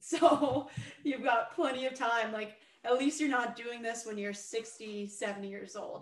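A woman's unremarkable speaking voice, fairly high in pitch, with ordinary pitch variation, a fairly slow pace, and big swings in loudness. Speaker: podcast host and pro hockey player. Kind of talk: casual interview.

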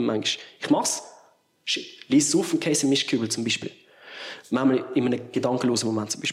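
A man speaks with lively intonation. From Switzerland, Basel area. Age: 30s. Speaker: musician. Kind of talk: casual interview.

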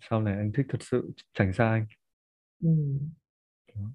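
This is a man speaking. His voice sits at a medium pitch. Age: 20s. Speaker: marketer and musician. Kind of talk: casual chat.

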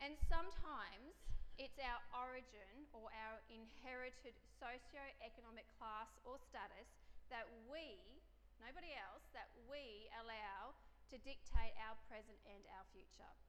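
A woman with a high pitch and ordinary pitch variation speaks at a fairly slow pace, her loudness swinging widely. Audible room echo and noticeable background noise fill the recording. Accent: Australian. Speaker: preacher. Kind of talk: sermon.

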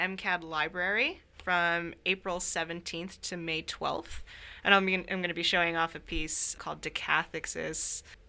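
In a Californian accent, a woman talks at a moderate pace with a medium pitch and a bright, sharp tone. Her intonation stays fairly even, and the recording is very clean with a silent background. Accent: Californian American. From Northern California, Sacramento. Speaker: visual artist. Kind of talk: interview. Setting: library.

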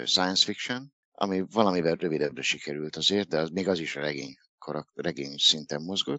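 The speaker is a man with a very deep, low pitch. His intonation is lively. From Hungary, Dunaújváros. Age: 50s. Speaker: author. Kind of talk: interview.

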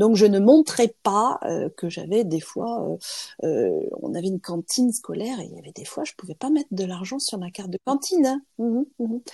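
A woman speaks at a moderate pace in a fairly high voice that is somewhat breathy and dark and mellow in tone, with lively intonation, big swings in loudness, and a dry, close sound with no echo. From France. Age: 50s. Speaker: lawyer and trainer. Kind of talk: interview testimony. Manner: halting.

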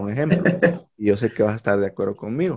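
Dark and mellow, the tone fills the clip. Behind it, the background stays quiet. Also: man. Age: 30s. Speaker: podcast host, teacher by profession. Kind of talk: casual conversation.

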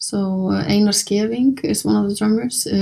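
A woman speaks at a moderate pace with an Icelandic accent. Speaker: jazz pianist and singer-songwriter. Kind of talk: interview. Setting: hotel room.

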